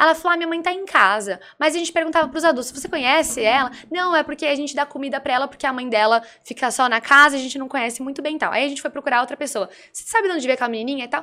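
A woman with a high, bright, sharp voice projects it loudly, sounding animated at a very fast pace with ordinary pitch variation. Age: 20s. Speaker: political blogger. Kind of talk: casual chat.

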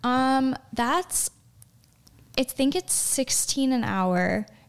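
A woman's high-pitched voice with lively intonation, in an American accent. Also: long, frequent pauses. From Chicago, US Midwest. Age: 20s. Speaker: pre-med student and model. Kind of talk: casual interview.

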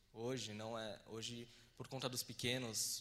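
A man's bright, sharp tone comes with monotone, flat intonation. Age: 20s. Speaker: filmmaker. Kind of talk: lecture. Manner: halting.

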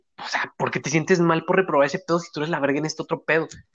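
The speaker is a man with a fairly high pitch. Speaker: podcast co-host. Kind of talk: casual chat.

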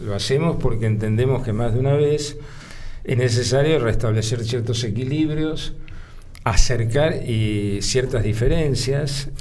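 A man with a Rioplatense accent talks at a fairly slow pace, with noticeable background noise and audible room echo. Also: medium pitch for a man, ordinary pitch variation. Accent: Argentine Rioplatense Spanish. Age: 70s. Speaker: lawyer and former politician. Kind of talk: interview conversation. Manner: halting, many fillers; measured, formal.

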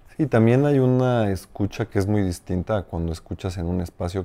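A man with a fairly low pitch and a dark, mellow tone uses lively intonation. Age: 30s. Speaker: business coach and administrator. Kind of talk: conversational interview. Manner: halting, many repetitions.

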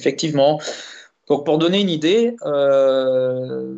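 A man's voice, fairly high in pitch. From Belgium, Liège region. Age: 30s. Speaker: racing driver. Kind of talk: interview. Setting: live stream. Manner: halting.

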